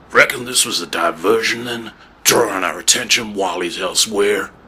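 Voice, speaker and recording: A man speaks in a put-on character voice, raspy and fairly low-pitched. His pace is moderate. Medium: audio drama.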